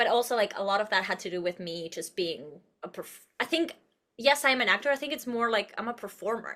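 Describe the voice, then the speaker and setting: Bright and sharp in tone, a woman with a fairly high pitch speaks at a fairly quick pace, sounding animated, with lively intonation. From Uruguay. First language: Spanish. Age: 30s. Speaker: actress and producer. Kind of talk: podcast interview. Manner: animated, expressive.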